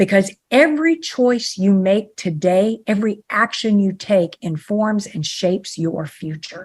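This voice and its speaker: This woman's somewhat breathy speech moves at a fairly slow pace with hardly any pauses and lively intonation. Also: medium pitch for a woman. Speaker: ontological coach and author. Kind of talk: podcast interview.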